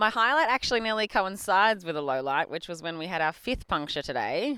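A woman speaks with an Australian accent. Her tone is bright and sharp. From Australia, Bendigo, Victoria. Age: 30s. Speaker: cyclist and bike team manager. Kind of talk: casual chat.

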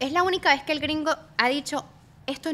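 A woman's raised, projected voice, bright and sharp in tone, with lively intonation and a fairly quick pace. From San Cristóbal, Venezuela. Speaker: social media comedian. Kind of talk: casual chat.

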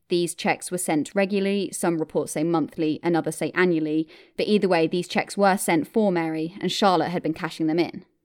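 A woman with a British accent, fairly low in pitch, fairly quick and with hardly any pauses, fairly even intonation, very clean recording with a silent background. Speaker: true crime podcast host. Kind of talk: true-crime narration, scripted-style storytelling. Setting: podcast recording. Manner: steady, measured, clear.

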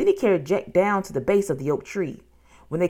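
The pitch moves in an ordinary way throughout this unforced reading voice.

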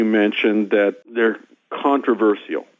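With a Midwestern US accent, a man speaks at a medium pitch. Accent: US Midwest. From Kansas. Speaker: scientist and professor. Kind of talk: phone interview. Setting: phone call.

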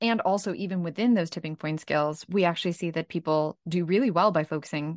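In a normal speaking voice, a woman with a fairly low pitch talks at a fairly quick pace with ordinary pitch variation, the sound dry and close with no echo against a quiet background. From Ukraine, raised in Brooklyn, New York. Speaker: author and leadership trainer. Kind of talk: interview.

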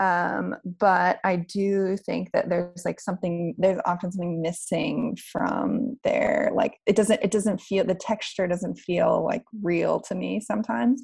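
A woman with an American accent talks with hardly any pauses. Noticeable background noise runs underneath. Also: fairly slow pace. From US South, West Virginia. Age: 30s. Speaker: novelist. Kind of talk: interview.

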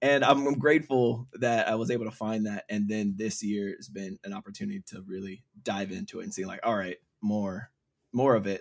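An unremarkable speaking voice belongs to a man with an American accent and a medium pitch. He speaks at a fairly quick pace with ordinary pitch variation and big swings in loudness. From small town, US. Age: 30s. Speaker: podcast guest. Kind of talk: casual chat.

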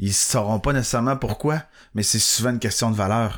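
On a very clean recording with a silent background, a man with a Quebec accent speaks in a fairly even intonation. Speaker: podcast co-host. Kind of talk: casual chat. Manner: halting.

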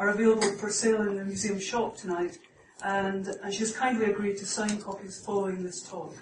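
Noticeable noise fills the background. The talking is fairly quick. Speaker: museum staff announcer. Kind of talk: welcome and introduction. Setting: live venue with audience.

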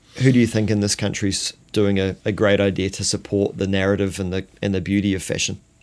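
A man with a New Zealand accent at a very fast pace, fairly low-pitched and monotone, with flat intonation and hardly any pauses. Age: 40s. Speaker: podcast host. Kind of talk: casual chat.

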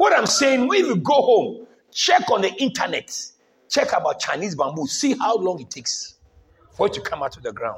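This man's voice sits at an extremely high pitch. His tone is animated, with very wide pitch swings. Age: 80s+. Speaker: bishop preaching to his congregation. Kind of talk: sermon. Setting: church service with congregation. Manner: animated call-and-response.

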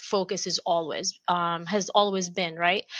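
The tone is energetic, delivered in an Arabic accent. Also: woman. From Jordan (Amman). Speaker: entrepreneur. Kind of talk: casual interview.

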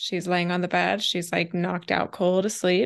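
A woman's fairly low voice with vocal fry at a moderate pace, in a very clean recording with a silent background

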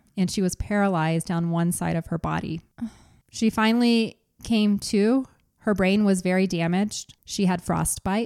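A woman's unremarkable speaking voice at medium pitch, with fairly even intonation and a moderate pace, in a dry, close sound with no echo. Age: 40s. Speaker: podcast host. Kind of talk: true crime storytelling.

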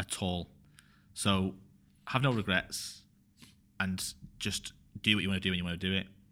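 With a Mancunian accent, a man speaks in a very deep, low voice with a bright, sharp tone and fairly even intonation, leaving long, frequent pauses on a very clean recording with a silent background. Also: moderate pace. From northern England, Bury near Manchester. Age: 30s. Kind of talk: podcast interview. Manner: halting, many fillers.

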